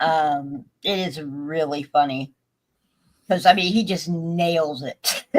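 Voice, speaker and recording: A woman with a very deep, low voice talks at a very slow pace, her intonation fairly even and broken by long, frequent pauses. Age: 60s. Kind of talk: casual chat.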